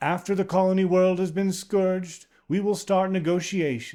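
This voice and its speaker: A man's put-on character voice, high in pitch and at a moderate pace. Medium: read story. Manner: formal, restrained.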